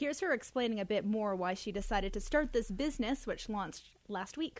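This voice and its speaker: A woman with an unremarkable speaking voice, fairly high in pitch, against a quiet background. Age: 20s. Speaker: radio news reporter. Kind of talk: radio news segment.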